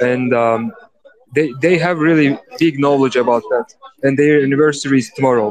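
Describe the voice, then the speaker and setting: A man with a Turkish accent, fairly high pitch, ordinary pitch variation and a moderate pace. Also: very even loudness. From Turkey. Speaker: host of crypto NFT audio space. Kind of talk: casual chat. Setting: audio call away from home.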